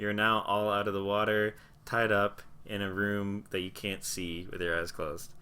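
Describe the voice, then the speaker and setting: A man with a fairly low pitch talks at a moderate pace. His intonation is monotone and flat. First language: not English. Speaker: tabletop game master. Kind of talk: live tabletop roleplay narration. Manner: descriptive storytelling narration.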